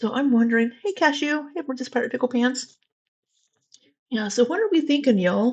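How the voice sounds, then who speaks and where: With a Southwest Missouri accent, a woman talks at a high pitch and a fairly quick pace, her intonation lively and broken by long, frequent pauses. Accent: Southwest Missouri rural twang. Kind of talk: casual, jokey.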